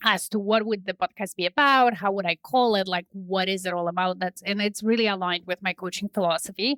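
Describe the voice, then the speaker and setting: A woman talks at medium pitch with ordinary pitch variation and a bright, sharp tone. The sound is dry and close, with no echo. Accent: Polish. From Poland. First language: Polish. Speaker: business and leadership coach. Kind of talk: interview.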